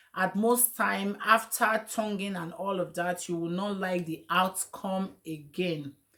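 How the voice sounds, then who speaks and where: At a fairly slow pace, a woman with an unremarkable speaking voice talks in a medium pitch with fairly even intonation. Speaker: wig and hair stylist, beauty channel host. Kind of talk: tutorial. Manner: casual, chatty.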